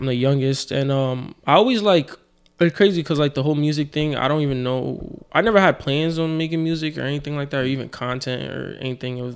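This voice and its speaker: A man with a New York accent talks at a very fast pace with fairly even intonation. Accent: New York City. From New York (South Jamaica, Queens). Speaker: rapper. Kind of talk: casual chat.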